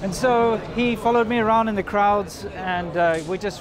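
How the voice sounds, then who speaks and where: A man talks over noticeable background noise. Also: dry sound with no echo. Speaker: vlogger. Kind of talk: casual vlog narration. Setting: outdoors in an electronics market. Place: street. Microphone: phone near.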